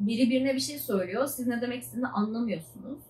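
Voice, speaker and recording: Using a normal speaking voice, a woman speaks at a fairly high pitch with ordinary pitch variation. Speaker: PhD student vlogger. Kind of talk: casual vlog monologue.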